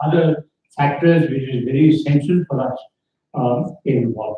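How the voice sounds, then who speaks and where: Somewhat breathy and fairly high in pitch, a man talks with fairly even intonation. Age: 80s+. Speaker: conference speaker. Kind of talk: conference talk.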